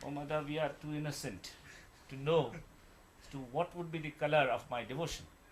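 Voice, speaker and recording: A man's fairly high, somewhat breathy voice with fairly even intonation at a moderate pace. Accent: Indian. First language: Hindi. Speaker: devotional speaker explaining a song. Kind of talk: explaining and translating song lyrics. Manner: halting.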